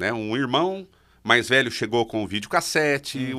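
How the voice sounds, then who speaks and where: Over a quiet background, a man with a bright, sharp tone and lively intonation speaks at a moderate pace. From Minas Gerais, Brazil (interior). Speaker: public speaking coach. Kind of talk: interview. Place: studio. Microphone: studio mic.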